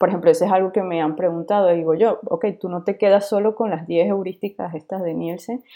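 Her tone is dark and mellow as the woman speaks at a fairly low pitch with fairly even intonation. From Venezuela. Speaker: UX designer. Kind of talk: interview.

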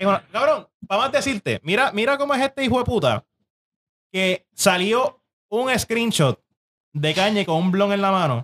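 Pausing long and often at a moderate pace, a high-pitched man keeps his loudness very even while his pitch swings very widely. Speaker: podcast host. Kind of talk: casual chat. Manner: animated.

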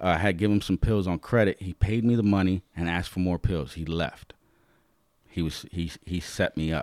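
An animated, very deep, low voice from a man with an American accent at a moderate pace, with a dry, close sound with no echo in a very clean recording with a silent background. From New York, the Bronx. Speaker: former drug dealer turned motivational speaker. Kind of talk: casual interview storytelling.

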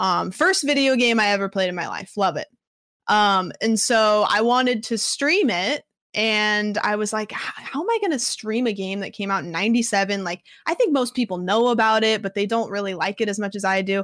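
This woman has a plain, everyday voice, fairly high in pitch with ordinary pitch variation, speaking at a moderate pace against a quiet background. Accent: American. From US Pacific Northwest, small rural town. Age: 20s. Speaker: streamer. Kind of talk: casual interview chat. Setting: live stream.

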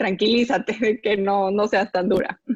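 Speaking in a normal speaking voice, a woman keeps a medium pitch, fairly even intonation and a fairly slow pace over a quiet background. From Bolivia. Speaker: social entrepreneur. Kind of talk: casual interview.

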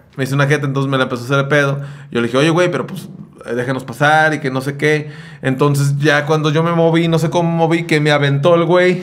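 The speech moves at a very fast pace with fairly even intonation. Audible room echo and noticeable background noise are present. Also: man, fairly high pitch for a man. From Mexico, Jalisco (Sayula). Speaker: podcast co-host, musician. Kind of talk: casual chat.

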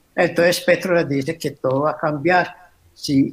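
Speaking at a moderate pace, a man has a plain, everyday voice set at a fairly high pitch. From Colombia. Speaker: guest commentator. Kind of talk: interview.

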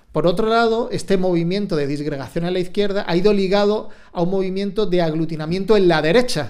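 Over audible room echo, a man talks at a very fast pace with hardly any pauses, his pitch high and ordinarily varied. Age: 40s. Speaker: journalist. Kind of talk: interview.

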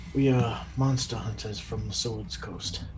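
Clear background noise behind a man in a put-on character voice, speaking fairly slowly. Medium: actual play. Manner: self-assured, dry.

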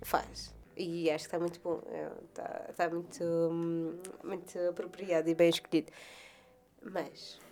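Over music in the background, a woman speaks in a monotone, flat way at a fairly low pitch and a fairly slow pace, with long, frequent pauses. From Madeira, Portugal. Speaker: podcast co-host. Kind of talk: casual chat.

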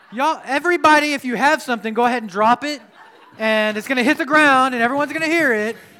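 Raised and projected, a man's extremely high-pitched voice moves at a very fast pace with ordinary pitch variation. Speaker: pastor. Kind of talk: sermon. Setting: church. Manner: self-deprecating and joking; animated, rousing, repeating key lines.

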